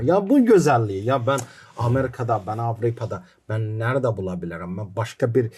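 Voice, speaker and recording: This voice has an Azerbaijani accent and a dark, mellow tone that is somewhat breathy. The recording is very clean, with a silent background. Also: man. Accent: Azerbaijani accent in Turkish. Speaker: documentary filmmaker. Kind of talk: podcast interview.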